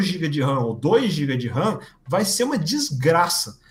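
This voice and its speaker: The pitch swings very widely, and audible room echo surrounds the voice. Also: man. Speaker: software developer and video creator. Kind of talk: live-streamed interview.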